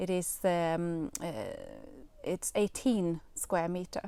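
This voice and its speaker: A woman talks with a dark, mellow tone. Her pitch varies in an ordinary way. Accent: Swedish. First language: Swedish. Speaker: gardening youtuber. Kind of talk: live video talk. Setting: outdoors in polytunnel. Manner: hesitant, many fillers.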